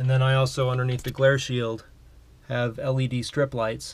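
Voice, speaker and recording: Moderate pace and fairly even intonation from a male speaker. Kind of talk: casual tour narration. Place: home room. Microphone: phone near.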